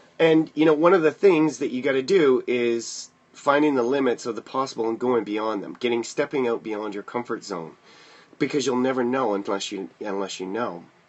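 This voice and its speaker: Noticeable background noise sits under speech with lively intonation. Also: man, medium pitch for a man. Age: 40s. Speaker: motivational livestreamer and kickboxing instructor. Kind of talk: casual livestream talk. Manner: fast.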